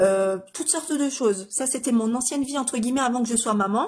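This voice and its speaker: A woman speaks with a strong northeastern French accent. Her pitch is fairly high and her pace fairly quick. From northeastern France. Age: 30s. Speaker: makeup artist. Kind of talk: tutorial. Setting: live stream. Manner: hesitant, many fillers.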